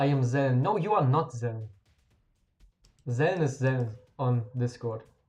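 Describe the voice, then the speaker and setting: With music playing in the background, a man speaks at a very slow pace and with ordinary pitch variation. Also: long, frequent pauses, very even loudness. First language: German. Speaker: game streamer. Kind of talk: live stream chat. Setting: live stream. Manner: casual, halting at times.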